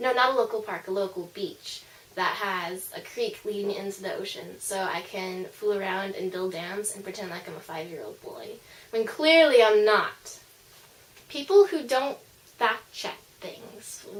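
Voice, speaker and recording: The delivery has a moderate pace, ordinary pitch variation and big swings in loudness. Noticeable background noise can be heard. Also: woman. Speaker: vlogger. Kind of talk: casual vlog monologue. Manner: casual, with filler words.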